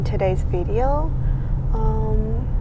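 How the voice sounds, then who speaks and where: Loud background noise surrounds a woman who talks at a very slow pace in a dry sound with no echo. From China, Korean Chinese background. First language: Chinese or Korean. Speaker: vlogger and mother. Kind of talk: casual vlog monologue. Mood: thoughtful, calm. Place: car. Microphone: phone near.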